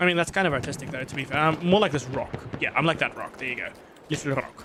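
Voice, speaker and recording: Through noticeable background noise, a man with a non-native accent and fairly high pitch talks very fast with ordinary pitch variation. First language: not English. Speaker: gaming streamer and game programmer. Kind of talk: live gameplay stream chat. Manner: hesitant, many fillers.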